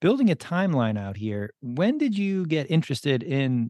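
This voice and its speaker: Against a quiet background, a man with a fairly high pitch speaks at a moderate pace, his pitch swinging very widely. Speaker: podcast host. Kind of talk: interview.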